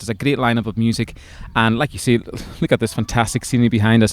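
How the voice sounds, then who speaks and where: Very fast and at a medium pitch, a man talks in a Hebridean accent, in a very clean recording with a silent background and a dry, close sound with no echo. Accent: Hebridean Scottish. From Scotland, Isle of Lewis. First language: Scottish Gaelic. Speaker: folk singer-songwriter. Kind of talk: interview. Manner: halting, repeated words.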